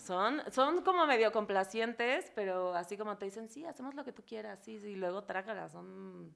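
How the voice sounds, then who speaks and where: A woman's normal speaking voice at medium pitch and moderate pace, with lively intonation, big swings in loudness and hardly any pauses. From Mexico, Acapulco, Guerrero. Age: 30s. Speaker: comedian. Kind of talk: casual chat.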